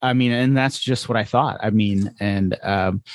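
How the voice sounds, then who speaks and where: A man talks in an ordinary speaking voice at medium pitch. His pitch variation is ordinary, and the background is quiet. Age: 40s. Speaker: podcast host. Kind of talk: casual podcast conversation.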